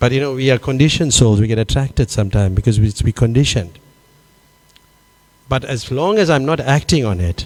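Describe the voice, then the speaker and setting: A man at medium pitch with lively intonation, a very fast pace, and long, frequent pauses. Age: 60s. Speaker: monk. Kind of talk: Q&A after a scripture class. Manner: halting, many fillers.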